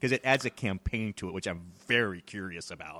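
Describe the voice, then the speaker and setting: A man with an American accent talks at a fairly quick pace in an unremarkable speaking voice, the sound dry and close with no echo on a very clean recording with a silent background. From Texas. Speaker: board game podcast co-host. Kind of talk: casual chat.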